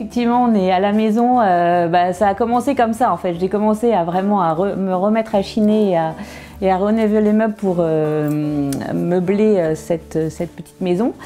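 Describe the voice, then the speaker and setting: With music in the background, a woman speaks at a moderate pace and a medium pitch. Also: ordinary pitch variation. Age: 30s. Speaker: furniture restorer. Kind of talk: interview. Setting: workshop showroom. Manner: halting, many hesitations.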